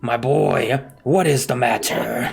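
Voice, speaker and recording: A man's raspy, medium-pitched put-on character voice. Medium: actual play.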